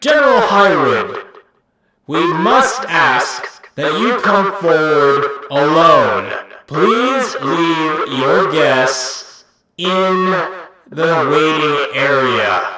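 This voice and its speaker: A man does a loud, put-on character voice at a high pitch with lively intonation. He goes at a very slow pace, with slight echo. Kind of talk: formal, commanding.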